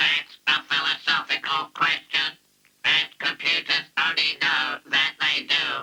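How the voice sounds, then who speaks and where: Using a cartoonish character voice, a man speaks at a fairly slow pace with a fairly high pitch. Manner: matter-of-fact.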